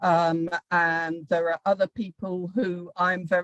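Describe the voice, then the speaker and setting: A woman speaking at a very slow pace, dry and close with no echo, with music in the background. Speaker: professor. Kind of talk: lecture. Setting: video call.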